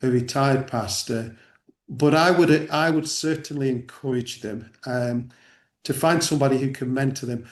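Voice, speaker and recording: Man with an English accent, medium pitch, moderate pace and fairly even intonation. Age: 60s. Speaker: church network director. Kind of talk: interview discussion. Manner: halting.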